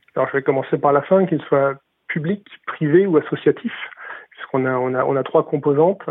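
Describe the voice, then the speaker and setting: Speaking at a fairly quick pace with long, frequent pauses, a man uses fairly high pitch and ordinary pitch variation. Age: 40s. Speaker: health sector business director, former biomedical engineer. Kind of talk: interview. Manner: halting, many fillers and repetitions.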